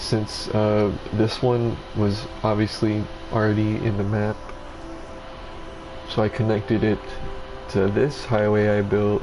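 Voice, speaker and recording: A man speaks at a fairly low pitch in a monotone, flat delivery at a fairly slow pace, with long, frequent pauses. The recording has audible room echo and noticeable background noise. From Mexico. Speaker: gamer streamer. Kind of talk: gameplay commentary. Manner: casual, halting.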